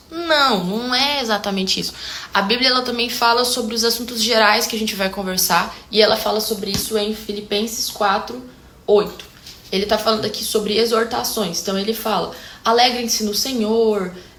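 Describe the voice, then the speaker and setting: Against noticeable background noise, a woman speaks at a moderate pace with a fairly high pitch and fairly even intonation. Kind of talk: casual talk to camera. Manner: talkative, expressive.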